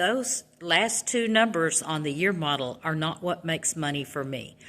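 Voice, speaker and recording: Her voice has a bright, sharp tone, as a woman talks at a fairly low pitch with lively intonation. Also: moderate pace. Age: 60s. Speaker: truck driver. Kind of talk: casual vlog monologue.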